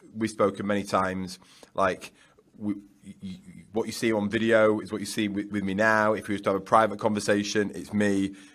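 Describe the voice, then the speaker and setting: A man with a Yorkshire accent talks at a fairly quick pace in a fairly low pitch. His intonation is monotone and flat. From Yorkshire, northern England. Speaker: business founder and author. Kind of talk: podcast interview. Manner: loud.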